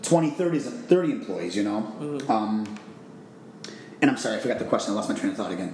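A man with an American accent speaks at a fairly quick pace. Audible room echo surrounds his voice. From Chicago, Illinois. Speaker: vacation rental owner. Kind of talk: interview.

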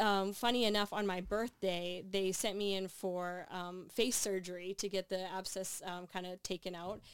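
With a Canadian accent and a normal speaking voice, the speaker keeps a moderate pace with hardly any pauses, in a very clean recording with a silent background. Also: woman. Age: 30s. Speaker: athlete and sports broadcaster. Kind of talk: interview.

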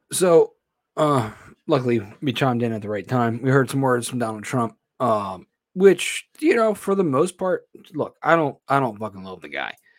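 Speaking at a moderate pace with an American accent, a man uses lively intonation at a medium pitch on a very clean recording with a silent background. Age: 30s. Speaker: podcast host. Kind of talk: casual solo commentary. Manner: halting.

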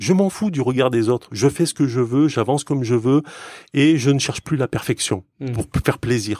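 In a dry, close sound with no echo and a very clean recording with a silent background, a man with a normal speaking voice talks at a moderate pace, medium in pitch with ordinary pitch variation. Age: 40s. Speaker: software developer. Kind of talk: casual chat.

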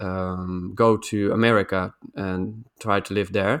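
A man in a Dutch accent, monotone and flat in intonation. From Netherlands. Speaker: podcast co-host. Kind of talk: casual chat. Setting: video call. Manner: halting.

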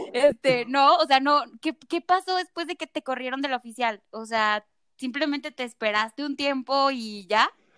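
A woman speaks with a Mexican accent. Her pitch is high and her pace moderate. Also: ordinary pitch variation. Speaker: podcast host. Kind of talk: casual chat. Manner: animated.

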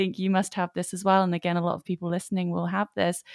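A woman speaks at medium pitch with an English accent. The sound is dry and close, with no echo. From England. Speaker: podcast host, spiritual coach and author. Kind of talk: interview conversation. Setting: video call.

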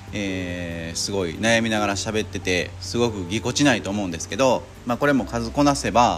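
Lively intonation and hardly any pauses mark this moderate-paced speech, heard over noticeable background noise. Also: man, fairly low pitch for a man. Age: 40s. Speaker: car detailing shop owner, podcaster. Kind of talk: casual monologue. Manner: halting, many fillers.

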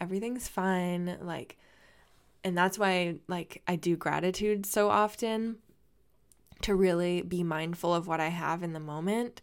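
In an ordinary speaking voice, a woman talks at a fairly slow pace with a fairly low pitch. Her intonation is fairly even, and the recording is very clean with a silent background. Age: 20s. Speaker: dancer and personal trainer podcast host. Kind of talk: solo podcast monologue. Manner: casual, chatty with frequent fillers.

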